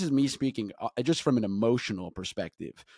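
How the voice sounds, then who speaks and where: A man with a dark, mellow tone and medium pitch talks at a fairly quick pace with ordinary pitch variation, the sound dry and close with no echo on a very clean recording with a silent background. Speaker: political commentator. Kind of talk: interview.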